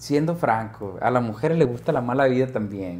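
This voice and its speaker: Somewhat breathy and animated, a man's voice moves at a moderate pace through very wide pitch swings. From Mexico. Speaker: podcast host. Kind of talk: casual chat. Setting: studio. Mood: cheerful, laughing, animated. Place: studio. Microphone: lapel.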